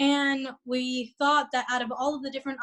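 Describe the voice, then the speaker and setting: In a Spanish accent, a woman speaks at a high pitch. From Orlando, Florida. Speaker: real estate agent. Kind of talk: interview.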